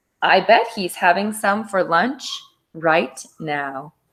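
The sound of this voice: A woman puts on a character voice with a fairly bright tone, a slightly husky edge, lively intonation, a slow pace and a fairly low pitch.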